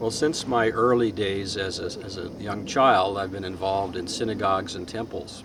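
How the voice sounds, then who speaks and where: A man with a fairly low pitch speaks at a moderate pace with hardly any pauses. His pitch varies in an ordinary way, and there is noticeable background noise. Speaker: teacher. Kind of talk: casual chat.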